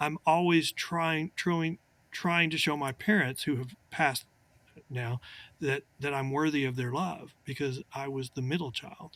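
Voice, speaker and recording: Fairly even intonation from a man with an ordinary speaking voice, fairly high pitch, and a fairly slow pace, in a dry, close sound with no echo. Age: 60s. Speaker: attorney. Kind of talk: casual chat.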